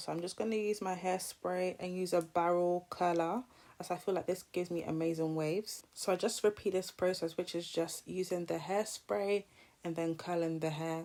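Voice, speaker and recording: A woman's dark, mellow voice at a fairly low pitch, with fairly even intonation and a moderate pace. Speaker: hair and beauty vlogger. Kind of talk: tutorial.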